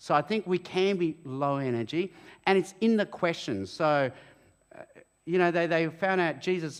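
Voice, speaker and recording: The speaker has an Australian accent and a moderate pace. Pitch varies in an ordinary way while loudness stays very even. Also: man, high pitch for a man. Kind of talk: interview at church event. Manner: animated.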